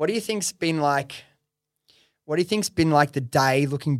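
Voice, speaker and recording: The speaker is a man with a Western Sydney accent and a fairly high pitch. He talks at a moderate pace in a dry, close sound with no echo. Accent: Western Sydney Australian. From Australia (Western Sydney). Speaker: podcast host and entrepreneur. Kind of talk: casual interview. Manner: casual, swears.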